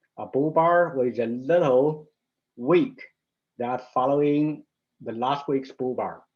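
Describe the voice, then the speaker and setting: A man with a fairly high pitch talks at a very slow pace. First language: Mandarin. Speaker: stock market analyst. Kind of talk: market analysis tutorial. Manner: halting, with fillers and restarts.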